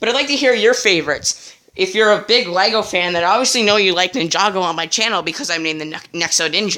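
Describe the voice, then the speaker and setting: A woman speaks with lively intonation and a bright, sharp tone. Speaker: YouTuber reviewing cartoons and toys. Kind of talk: casual video commentary. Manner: fast; hesitant, many fillers.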